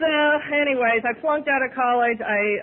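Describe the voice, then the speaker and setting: With a Midwestern American accent, a woman speaks at a fairly quick pace and with ordinary pitch variation. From Ohio, USA. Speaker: recovering alcoholic. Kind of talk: AA speaker talk. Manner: fast; humorous.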